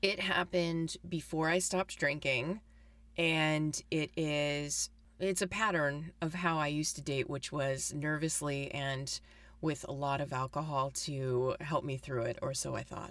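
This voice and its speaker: The speech moves at a fairly slow pace with ordinary pitch variation, captured in a very clean recording with a silent background. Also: woman, very deep, low pitch for a woman. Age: 40s. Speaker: communications professor and writer. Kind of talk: personal testimony interview.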